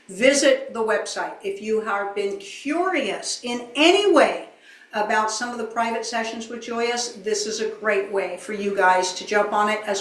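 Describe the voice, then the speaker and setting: A woman at a fairly high pitch and a fairly slow pace, with audible room echo. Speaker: channeler. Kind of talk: promotional announcements.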